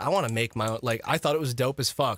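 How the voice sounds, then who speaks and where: With an American accent, a man speaks in a bright, sharp tone with ordinary pitch variation and a dry, close sound with no echo. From Michigan, US. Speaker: streamer. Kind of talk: casual chat.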